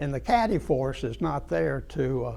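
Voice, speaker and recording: A man's very slow delivery amid audible room echo. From East Tennessee (Kingsport). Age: 80s+. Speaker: local history speaker. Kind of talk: club talk. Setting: club meeting with audience. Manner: halting.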